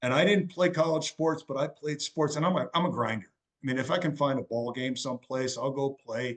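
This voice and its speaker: Speaking at a fairly quick pace with hardly any pauses, a man uses a fairly high pitch and ordinary pitch variation. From Wisconsin, US Midwest. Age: 60s. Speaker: fitness transformation challenge winner. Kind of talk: podcast interview. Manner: halting.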